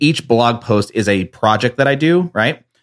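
Over a very clean recording with a silent background, a normal speaking voice with an American accent moves at a moderate pace with ordinary pitch variation. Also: man. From New Jersey. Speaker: entrepreneur. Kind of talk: casual chat.

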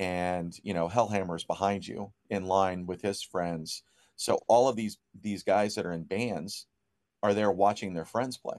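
This man has an unremarkable speaking voice, fairly low in pitch, with an American accent. He talks at a fairly slow pace with fairly even intonation against a quiet background. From Ohio, near Dayton. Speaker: record store owner. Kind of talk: interview.

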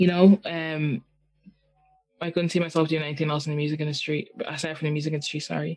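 With an Irish accent, a woman talks at a very fast pace. Her voice is very deep and low, with monotone, flat intonation. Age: 20s. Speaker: singer-songwriter. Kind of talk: casual interview.

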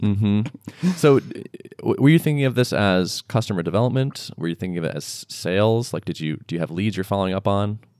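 A man talks at a fairly quick pace in an ordinary speaking voice. His pitch is fairly low. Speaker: podcast co-host. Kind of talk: casual chat.

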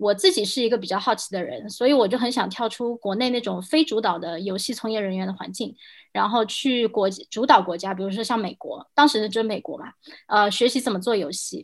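A woman speaks at a fairly quick pace in a plain, everyday voice. Her pitch is fairly high with ordinary variation, on a very clean recording with a silent background. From mainland China. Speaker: game industry product director. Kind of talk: casual panel discussion.

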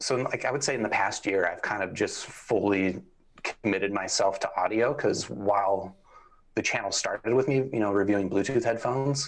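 A man with a normal speaking voice, fairly low pitch, ordinary pitch variation and a fairly quick pace. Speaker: headphone reviewer. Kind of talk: casual interview. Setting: live stream.

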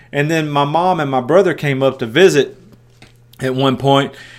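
Pitched in the medium range, a man talks in a strong Tennessee accent. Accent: strong rural Southern (Tennessee). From US South, West Tennessee. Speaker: preacher and podcast host. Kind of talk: Bible teaching. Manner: halting, many fillers and repeats.

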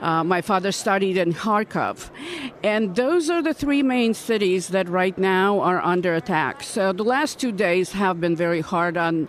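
Over noticeable background noise, a woman with a fairly low voice speaks fairly slowly. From Ukraine, Odessa. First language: Russian or Ukrainian. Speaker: congressional candidate. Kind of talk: radio interview. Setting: political conference.

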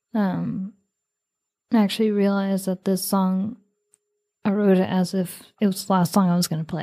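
A woman speaks in a dark, mellow tone with monotone, flat intonation and long, frequent pauses, on a very clean recording with a silent background. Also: medium pitch for a woman, moderate pace. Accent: American. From New York City, the Bronx. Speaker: singer-songwriter. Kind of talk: interview.

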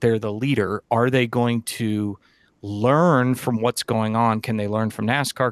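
This is an ordinary speaking voice, a man with an American accent at a medium pitch. He talks at a moderate pace with fairly even intonation, and the sound is dry and close with no echo. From Massachusetts. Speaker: sports venue marketing executive. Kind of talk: interview.

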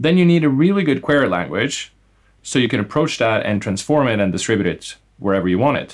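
Rattling along at a very fast pace, a man with a Norwegian accent speaks at a medium pitch with very wide pitch swings. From Norway. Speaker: startup co-founder and CEO. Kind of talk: interview conversation.

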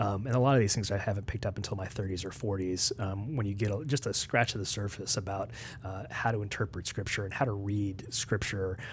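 A man races along at a very fast pace with hardly any pauses, his fairly low, somewhat breathy voice showing ordinary pitch variation. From West Virginia. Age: 40s. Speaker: ethics and theology researcher. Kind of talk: casual interview. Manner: hesitant, many fillers.

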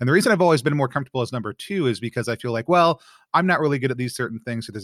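A man speaks at a very fast pace with an American accent and lively intonation. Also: dry, close sound with no echo, very clean recording, silent background. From Texas. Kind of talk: casual chat.

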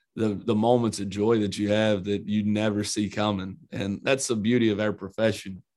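Speaking with an Eastern Kentucky accent, a man keeps a fairly low pitch. His delivery is monotone and flat at a moderate pace. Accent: Eastern Kentucky country. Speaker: college basketball head coach. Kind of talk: interview.

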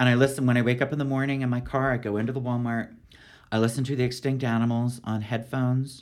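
At a very fast pace, a man with an American accent speaks at a medium pitch in a monotone, flat intonation. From US, Philadelphia, Pennsylvania. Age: 50s. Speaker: poet. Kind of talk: interview conversation.

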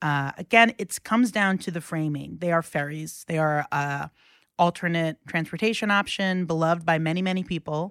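A woman's plain, everyday voice with an American accent, fairly low pitch, ordinary pitch variation and moderate pace, in a dry, close sound with no echo and a very clean recording, silent background. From New York City, Queens (Rockaway). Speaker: journalist. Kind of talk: casual chat.

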